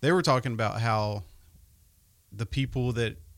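A man's normal speaking voice, medium in pitch, at a fairly quick pace, in a very clean recording with a silent background. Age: 30s. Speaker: financial advisor, podcast co-host. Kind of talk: casual chat.

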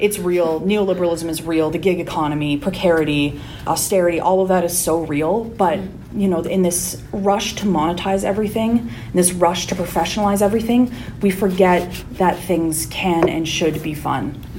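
Speaking at a moderate pace with a Canadian accent, a woman with a fairly low pitch and ordinary pitch variation is heard over noticeable background noise and audible room echo. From Calgary, Alberta, Canada. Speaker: podcast co-host and PhD student. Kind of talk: casual interview chat.

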